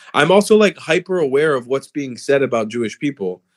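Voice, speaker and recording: A man with a fairly high voice talks at a fairly quick pace with very wide pitch swings, in a dry, close sound with no echo. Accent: South Florida. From South Florida, US. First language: Hebrew. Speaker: political commentator. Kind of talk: casual debate on livestream. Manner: animated.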